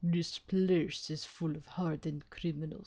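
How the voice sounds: This put-on character voice with a Russian accent sits at a middle pitch and moves at a moderate pace.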